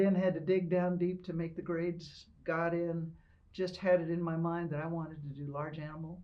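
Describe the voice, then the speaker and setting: The speaker has an American accent and a moderate pace. Audible room echo surrounds the voice. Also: woman. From Ohio. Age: 70s. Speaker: retired military officer and veterinarian. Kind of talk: oral history interview. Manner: conversational, some hesitations.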